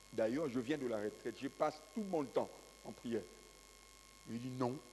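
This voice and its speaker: A man talks at a medium pitch. The pitch varies in an ordinary way. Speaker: pastor. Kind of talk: sermon. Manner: slow, calm.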